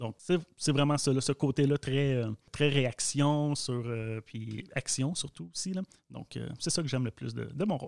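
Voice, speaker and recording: Spoken at a fairly slow pace with ordinary pitch variation, a normal speaking voice comes through a very clean recording with a silent background and a dry, close sound with no echo. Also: man, fairly high pitch for a man. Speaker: communications officer, co-host. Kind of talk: casual interview chat.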